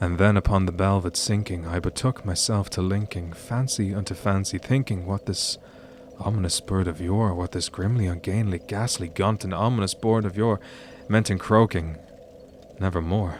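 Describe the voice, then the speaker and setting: At a moderate pace, a man with an Irish accent speaks in a fairly low voice with fairly even intonation. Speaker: streamer. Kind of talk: poetry reading. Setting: live stream.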